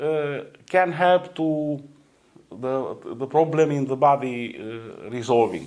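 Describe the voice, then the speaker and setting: Speaking very slowly with a Romanian accent, the man has a fairly high pitch and big swings in loudness. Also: ordinary pitch variation. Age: 40s. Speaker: energy healer. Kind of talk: interview. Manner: halting, many hesitations.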